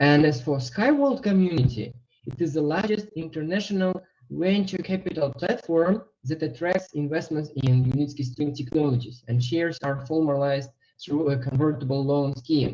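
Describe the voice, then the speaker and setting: The man's tone is dark and mellow, somewhat breathy, at a fairly high pitch. He keeps a moderate pace with ordinary pitch variation. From Uzbekistan. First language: not English. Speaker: webinar presenter, investment trainer. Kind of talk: online webinar presentation. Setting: online webinar.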